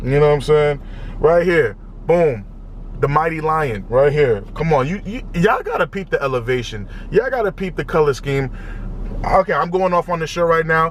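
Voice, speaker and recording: Against noticeable background noise, a man with a fairly high pitch and an animated tone talks at a moderate pace with ordinary pitch variation. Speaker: music reaction youtuber. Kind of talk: casual reaction video commentary. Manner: loud, yelling; animated, repetitive stammering.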